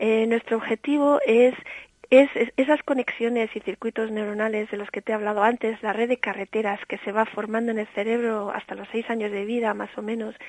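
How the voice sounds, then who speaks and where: The speech comes fairly quickly in a monotone, flat delivery, with a dry, close sound and no echo. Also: woman, fairly high pitch for a woman. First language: bilingual English and Spanish (speaking Spanish). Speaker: early childhood education specialist. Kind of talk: interview.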